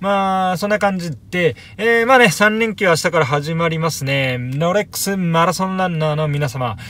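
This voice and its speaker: Lively intonation marks a man's fairly quick speech. The sound is dry with no echo, over light background noise. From Japan. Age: 30s. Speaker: YouTuber vlogging watch-shop visits; watch hobby vlogger. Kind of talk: casual vlog monologue; casual vlog chat. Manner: hesitant, many fillers. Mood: upbeat, chatty. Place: home room.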